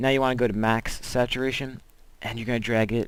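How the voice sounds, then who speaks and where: A man speaks at a fairly quick pace. His pitch is medium. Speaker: video tutorial maker. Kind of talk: tutorial. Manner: fast; casual.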